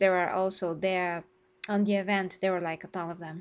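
The speaker has a Bulgarian accent. The pace is moderate. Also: woman. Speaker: gaming YouTuber. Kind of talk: live stream discussion.

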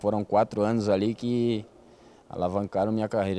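A man with a fairly low pitch keeps a moderate pace and fairly even intonation. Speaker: futsal player. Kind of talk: interview. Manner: halting. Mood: relaxed, smiling. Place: hall. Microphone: handheld.

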